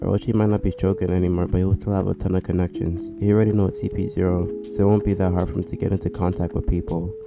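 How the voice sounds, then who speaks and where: Over music in the background, a man with a very deep, low pitch speaks at a very fast pace with ordinary pitch variation. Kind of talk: anime theory commentary. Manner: casual.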